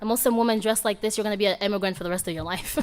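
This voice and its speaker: A woman speaks with an Arabic accent. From Sudan, moved to US (Virginia) at age seven. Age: 20s. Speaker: guest speaker. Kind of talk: motivational talk. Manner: casual, conversational.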